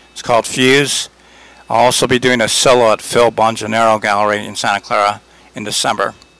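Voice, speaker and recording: A man with an American accent talks at a fairly quick pace and medium pitch, in monotone, flat intonation with big swings in loudness and noticeable background noise. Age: 60s. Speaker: artist. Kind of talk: interview. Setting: art gallery. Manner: relaxed, with frequent fillers.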